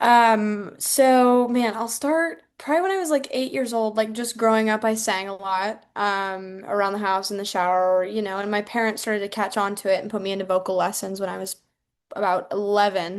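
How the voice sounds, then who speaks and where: With an American accent, a woman talks at a moderate pace in an unremarkable speaking voice of medium pitch and ordinary pitch variation over a quiet background. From US Midwest, rural Iowa. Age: 19. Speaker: singer-songwriter. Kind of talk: casual interview.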